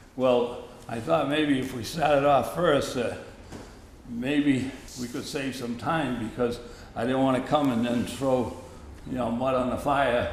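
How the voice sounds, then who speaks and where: A man with an American accent and a medium pitch speaks at a fairly slow pace with fairly even intonation and long, frequent pauses, amid audible room echo and noticeable background noise. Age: 80s+. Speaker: resident giving public input. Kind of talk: public meeting comment. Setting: town hall meeting.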